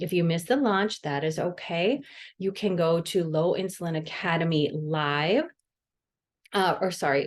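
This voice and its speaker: Against a quiet background, a woman speaks at a fairly low pitch with ordinary pitch variation. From US Midwest, Wisconsin. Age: 40s. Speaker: dietitian and podcast host. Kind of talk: solo podcast monologue. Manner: casual, chatty.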